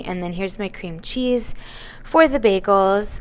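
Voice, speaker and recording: A woman speaks at a medium pitch. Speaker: lifestyle vlogger. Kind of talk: casual vlog narration.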